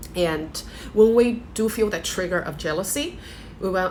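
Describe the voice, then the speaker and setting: A woman with a non-native accent talks at a moderate pace with ordinary pitch variation. Room echo is audible. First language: not English. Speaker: life coach. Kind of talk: motivational talk to camera. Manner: hesitant, with fillers.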